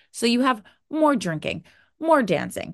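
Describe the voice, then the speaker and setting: With an American accent, a woman speaks at a fairly slow pace in an animated tone, with vocal fry and very wide pitch swings. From New Jersey. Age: 30s. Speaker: podcast host, binge eating coach. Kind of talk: casual solo podcast talk.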